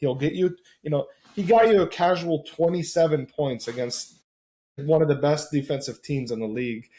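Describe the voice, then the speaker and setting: A man with a fairly high pitch and a dark, mellow, somewhat breathy tone speaks at a moderate pace, his pitch varying in an ordinary way. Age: 20s. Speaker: basketball podcast panelist. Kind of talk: casual chat. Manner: animated.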